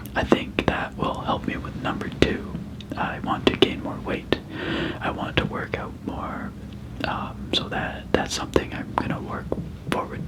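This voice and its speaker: A man whispers at a fairly slow pace in a relaxed tone, with big swings in loudness. Noticeable background noise sits behind him. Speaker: ASMR creator. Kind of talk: casual talk to camera. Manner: soft-spoken, relaxed.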